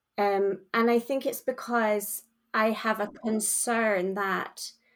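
Over a very clean recording with a silent background, a woman with a Scottish accent speaks at a fairly high pitch with fairly even intonation. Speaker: charity worker. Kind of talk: casual chat.

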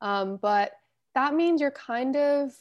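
With an American accent, a woman speaks at a fairly slow pace in a normal speaking voice with ordinary pitch variation. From Los Angeles, US. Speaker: embedded systems engineer. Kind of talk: casual interview.

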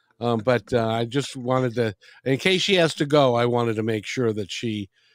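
On a very clean recording with a silent background, a man talks at a fairly quick pace with a medium pitch, ordinary pitch variation and a dry, close sound with no echo. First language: not English. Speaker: radio host. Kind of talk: interview. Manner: halting.

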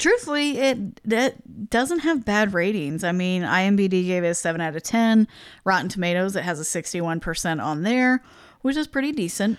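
A woman with an American accent speaks at a moderate pace and medium pitch, with very wide pitch swings. The recording is very clean, with a silent background. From US Midwest. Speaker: podcast co-host. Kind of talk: casual chat. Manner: quiet.

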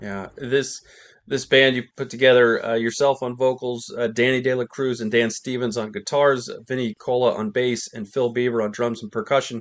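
A man with an unremarkable speaking voice talks at a moderate pace, with a medium pitch and fairly even intonation. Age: 50s. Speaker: music podcast host. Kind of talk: interview.

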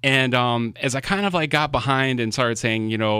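A man's voice with a bright, sharp tone. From Florida, Miami. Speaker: food truck blogger. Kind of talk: casual interview chat. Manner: halting, many fillers and repeats.

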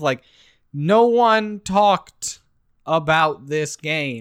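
A man with lively intonation in a very clean recording with a silent background. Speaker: video game podcast co-host. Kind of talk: casual chat. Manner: loud.

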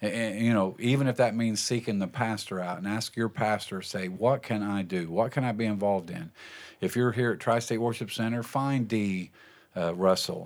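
A man's fairly low-pitched voice with ordinary pitch variation, an ordinary speaking voice. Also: moderate pace. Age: 60s. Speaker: pastor and podcast host. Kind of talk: casual chat. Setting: studio.

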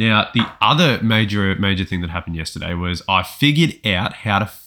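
The recording is very clean, with a silent background. A man talks at a fairly quick pace in a bright, sharp tone with ordinary pitch variation. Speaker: podcast host and writer. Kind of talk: casual chat.

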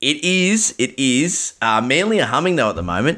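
A man's bright, sharp voice with lively intonation, in a very clean recording with a silent background. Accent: Australian. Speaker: fantasy sports podcast host. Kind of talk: casual chat. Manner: animated.

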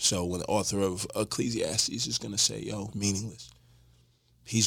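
On a very clean recording with a silent background, a man with a fairly low pitch and vocal fry talks at a moderate pace with ordinary pitch variation. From Houston, Texas. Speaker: pastor and author. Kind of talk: casual chat. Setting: studio.

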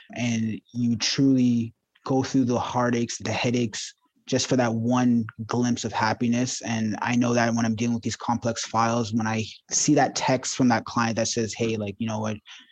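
A man speaks at a medium pitch with monotone, flat intonation. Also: moderate pace. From Ontario, Canada (Ajax, Toronto suburbs). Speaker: mortgage broker. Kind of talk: interview.

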